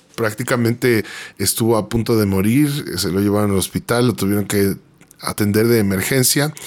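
Speaking with a Mexican accent, a man uses a fairly low pitch, ordinary pitch variation and very even loudness at a moderate pace. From Mexico City. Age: 30s. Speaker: graphic designer and worship singer-songwriter. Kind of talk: personal testimony interview. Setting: radio studio.

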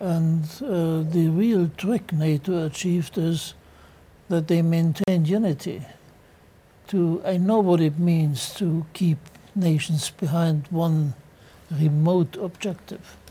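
At a very slow pace, a man with a German accent speaks in a high pitch with fairly even intonation. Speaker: retired general. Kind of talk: panel discussion. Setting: studio.

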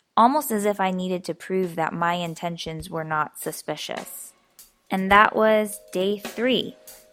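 Music plays in the background as a woman speaks at a fairly slow pace. Her pitch sits in the medium range. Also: ordinary pitch variation. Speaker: vlogger doing a daily challenge. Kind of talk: personal video diary. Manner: subdued, low energy.

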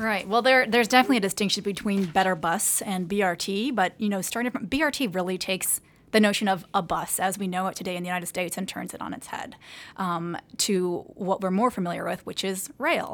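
A woman with an American accent talks at a very fast pace, with ordinary pitch variation. The recording is very clean, its background silent. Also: medium pitch for a woman. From US West Coast. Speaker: transit advocacy program manager. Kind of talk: interview. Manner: hesitant, frequent fillers.

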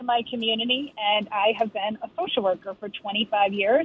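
A woman with an unremarkable speaking voice talks at a moderate pace. Her pitch is fairly high, with ordinary variation. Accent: American. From Lowell, Massachusetts. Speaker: politician, state representative. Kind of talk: radio interview. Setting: phone call.

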